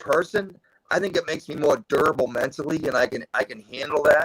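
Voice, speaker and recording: Heard in a dry, close sound with no echo, a man with a fairly high pitch and an unremarkable speaking voice talks at a fairly quick pace. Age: 60s. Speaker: hockey coach. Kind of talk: podcast interview.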